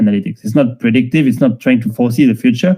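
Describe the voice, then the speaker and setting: A man's voice carries a dark, mellow tone and ordinary pitch variation. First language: not English. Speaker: tech founder and data strategy speaker. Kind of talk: online lecture. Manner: hesitant, many fillers.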